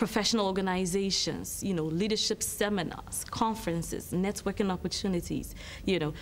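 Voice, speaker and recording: Speaking fairly quickly with an American accent, a woman uses a medium pitch and ordinary pitch variation. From Ghana. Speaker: marketing consultancy director. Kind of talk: TV interview. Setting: TV studio.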